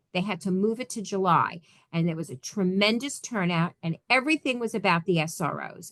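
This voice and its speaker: Against a quiet background, a woman with an ordinary speaking voice talks at a moderate pace with lively intonation. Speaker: school board trainer. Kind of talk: training presentation.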